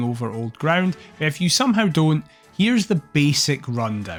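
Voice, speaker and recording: Over background music, a man with a Scottish accent speaks at a moderate pace in a fairly high, enthusiastic voice with very wide pitch swings. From Scotland. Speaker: streamer. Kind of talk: video essay commentary.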